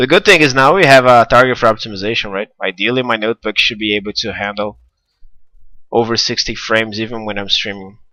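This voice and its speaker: A man at a very fast pace and medium pitch, with a bright, sharp tone and ordinary pitch variation, in a very clean, dry, close recording with a silent background and no echo. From Brazil. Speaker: game developer streaming gameplay. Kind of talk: live gameplay stream commentary. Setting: live stream from a notebook.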